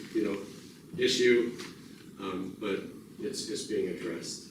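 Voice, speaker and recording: Fairly slow speech with ordinary pitch variation, noticeable background noise and audible room echo. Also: man. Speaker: sheriff-elect. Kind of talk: community meeting Q&A. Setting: community meeting room with audience. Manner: halting, many fillers and repeats.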